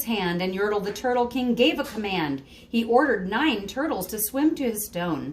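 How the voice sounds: Natural reading with lively intonation.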